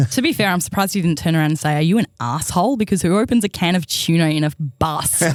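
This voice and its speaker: A woman with a fairly low voice and an Australian accent, lively intonation, a very fast pace and very even loudness. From Queensland, Australia (Toowoomba). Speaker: comedy podcast co-host. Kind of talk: news reading; casual chat.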